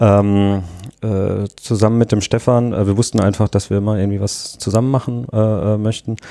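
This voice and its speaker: A man's fairly low, dark, mellow voice at a moderate pace, with monotone, flat intonation. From southwestern Germany. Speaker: drinks startup founder and designer. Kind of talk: casual interview. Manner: hesitant, many fillers.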